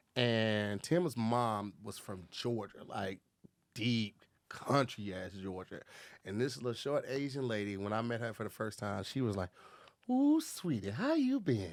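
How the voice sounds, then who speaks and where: A man of medium pitch talks with a Southern US accent in a very clean recording with a silent background. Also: ordinary pitch variation, fairly slow pace. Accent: Southern US drawl. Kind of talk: casual chat.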